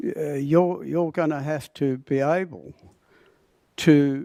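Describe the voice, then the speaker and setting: In a very clean recording with a silent background and a dry, close sound with no echo, a man with an Australian accent speaks slowly-ish at a fairly slow pace, his fairly high voice carrying a dark, mellow tone and fairly even intonation. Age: 70s. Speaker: public speaker at council meeting. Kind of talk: public statement. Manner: halting.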